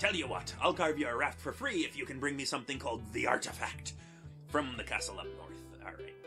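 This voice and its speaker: A put-on character voice plays over clear background music. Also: fairly quick pace. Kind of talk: shipwright offering a quest.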